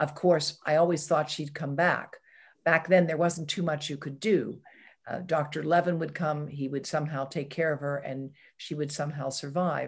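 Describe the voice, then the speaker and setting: A woman's very deep, low, somewhat breathy voice with an American accent, monotone and flat at a moderate pace over a quiet background. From southwestern Pennsylvania, US. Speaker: environmental health scientist; interview guest. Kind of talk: interview. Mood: reflective, personal memories. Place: home room. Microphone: video call.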